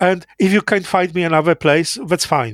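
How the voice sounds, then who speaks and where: A man speaks with a Polish accent. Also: dry, close sound with no echo. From Poland, Lower Silesia. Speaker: interviewee recounting Cold War childhood. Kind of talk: oral history interview. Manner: halting.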